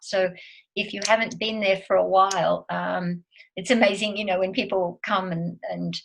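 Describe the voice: With vocal fry and fairly even intonation, a woman speaks at a moderate pace in a fairly low pitch.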